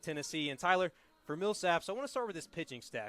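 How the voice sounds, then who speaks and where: Heard in a dry, close sound with no echo, a man uses lively intonation at a fairly high pitch. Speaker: sports broadcaster. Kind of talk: play-by-play baseball broadcast.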